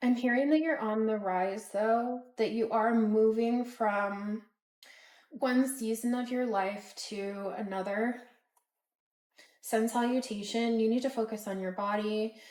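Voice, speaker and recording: A woman speaks in a plain, everyday voice at a fairly high pitch. She keeps a fairly even intonation at a fairly slow pace. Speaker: tarot reader. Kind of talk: collective tarot reading. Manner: casual with filler words.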